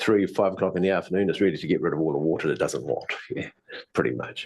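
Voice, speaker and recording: A man talks at a very fast pace. He has a New Zealand accent. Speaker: presenter, teacher. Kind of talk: informal lecture. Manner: fast talker.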